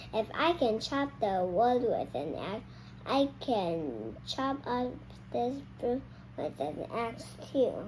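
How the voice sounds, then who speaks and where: Over clear background noise, a woman puts on a character voice and talks at a very slow pace. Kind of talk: children's read-aloud. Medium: read story.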